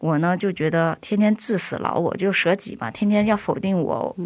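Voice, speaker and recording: A woman with an unremarkable speaking voice talks at a fairly slow pace with fairly even intonation. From China. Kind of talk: interview testimony. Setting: studio.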